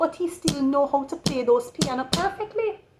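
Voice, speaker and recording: A woman with a Jamaican accent talks at a moderate pace in a high voice over noticeable background noise. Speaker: tarot reader. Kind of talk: tarot reading.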